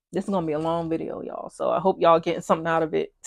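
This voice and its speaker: A woman with an American accent speaks at a fairly low pitch. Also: quiet background. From US, military kid, hometown Hampton Roads, Virginia. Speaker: tarot reader. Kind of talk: pick-a-card tarot reading. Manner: fast; casual, many fillers.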